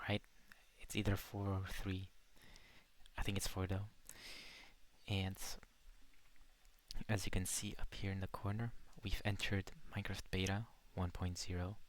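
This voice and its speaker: The speaker is soft-spoken and moves at a moderate pace, with long, frequent pauses. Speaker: gaming podcaster. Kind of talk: casual chat with gameplay. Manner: soft-spoken, quiet; relaxed, laid-back.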